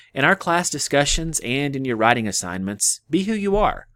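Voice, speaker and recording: A man with an Appalachian accent speaks at a medium pitch and a moderate pace, with very wide pitch swings. The recording is very clean, with a silent background and a dry, close sound free of echo. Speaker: history professor. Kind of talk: scripted narration. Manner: formal.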